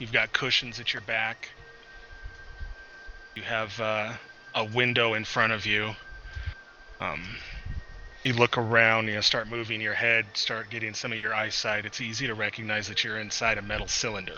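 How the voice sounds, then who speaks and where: A man puts on a raspy character voice at medium pitch, flat and monotone at a moderate pace. He leaves long, frequent pauses, and background noise is clearly heard. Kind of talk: tabletop GM scene narration. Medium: actual play. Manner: casual, halting, filler-heavy.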